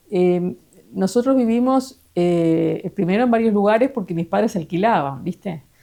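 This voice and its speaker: This woman has a Uruguayan accent and a dark, mellow tone at medium pitch. She speaks at a fairly slow pace with lively intonation. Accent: Uruguayan Rioplatense Spanish. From Uruguay, Pando (Canelones). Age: 60s. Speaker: interviewee sharing life memories. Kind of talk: casual interview, life story. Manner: hesitant, many fillers.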